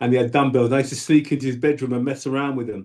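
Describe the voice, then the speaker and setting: The speaker is a man in a London accent. His pitch is fairly high. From South London, England. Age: 60s. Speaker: bodybuilder and powerlifter. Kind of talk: interview. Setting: video call.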